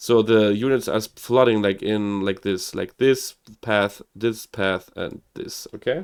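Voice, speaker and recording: In a German accent, a man with medium pitch speaks at a very slow pace with lively intonation. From Germany (Hamburg). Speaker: gaming streamer. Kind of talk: live game commentary. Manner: animated; halting.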